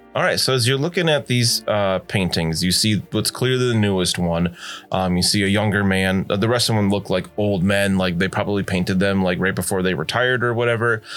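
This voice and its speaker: A man's unremarkable speaking voice, fairly low in pitch, at a fairly quick pace with hardly any pauses, very even loudness and ordinary pitch variation. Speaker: game master of a tabletop roleplaying podcast. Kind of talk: tabletop roleplaying actual play with in-character narration.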